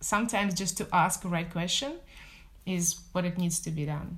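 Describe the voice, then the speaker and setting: Her voice is somewhat breathy and fairly low in pitch for a woman. She keeps her intonation fairly even. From Russia, Moscow. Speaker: business development executive. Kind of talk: interview.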